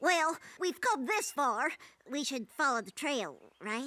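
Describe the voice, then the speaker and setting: This cartoonish character voice is high-pitched and moves at a fairly slow pace. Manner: eager, excitable.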